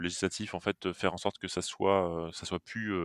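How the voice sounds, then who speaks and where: The speech moves at a moderate pace in a monotone, flat intonation. It is a very clean recording with a silent background. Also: man, dry, close sound with no echo. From Lorraine, France (Metz). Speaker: company founder. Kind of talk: podcast interview. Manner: hesitant, many fillers.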